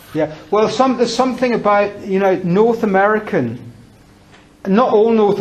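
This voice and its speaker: Speaking with a British accent at a moderate pace, a man is heard over noticeable background noise. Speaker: English teacher giving a talk. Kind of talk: talk with audience discussion. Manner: conversational, hesitant with repetitions.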